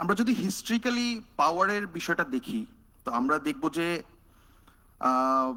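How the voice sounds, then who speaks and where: In a Bengali accent, a man talks fairly slowly with long, frequent pauses. His voice is high, bright and sharp, with very wide pitch swings. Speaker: researcher. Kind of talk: panel talk.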